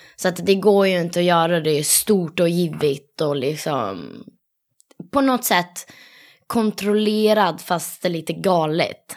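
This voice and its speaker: A woman with a fairly low pitch and ordinary pitch variation talks at a fairly slow pace. She has an unremarkable speaking voice. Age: 20s. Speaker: competitive dancer and dance teacher. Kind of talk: casual interview.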